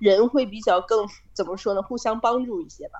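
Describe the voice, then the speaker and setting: At a moderate pace, a woman with a fairly high pitch talks in an ordinary speaking voice. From China. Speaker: student abroad, office worker. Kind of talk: casual chat.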